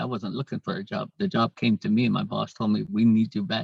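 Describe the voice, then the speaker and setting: Fairly quick male speech with vocal fry and very wide pitch swings, in a dry, close sound with no echo. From San Carlos Apache Reservation, Arizona. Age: 50s. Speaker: Apache language instructor. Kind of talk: interview answer.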